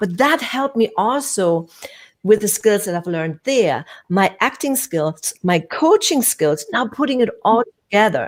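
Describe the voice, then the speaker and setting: She speaks at a fairly slow pace in a fairly high voice, her pitch swinging very widely. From Germany (Hamburg). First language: German. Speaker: communication coach and actor. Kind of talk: casual interview. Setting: live stream.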